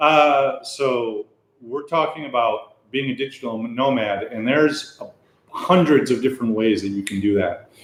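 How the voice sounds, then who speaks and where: A man speaks at a moderate pace in an ordinary speaking voice, fairly high in pitch, with ordinary pitch variation. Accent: American. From United States. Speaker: web developer and English teacher. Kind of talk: casual chat. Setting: livestream.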